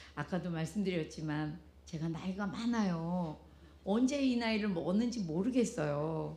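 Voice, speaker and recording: Lively intonation carries the speech at a moderate pace, with audible room echo around it. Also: woman, fairly low pitch for a woman. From South Korea. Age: 70s. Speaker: pastor's wife giving a testimony. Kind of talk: testimony. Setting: church with congregation.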